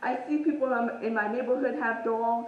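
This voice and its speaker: Amid noticeable background noise and audible room echo, a woman talks at a fairly slow pace and a fairly high pitch with ordinary pitch variation. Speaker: fitness vlogger. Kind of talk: casual vlog talk. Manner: casual, hesitant with fillers.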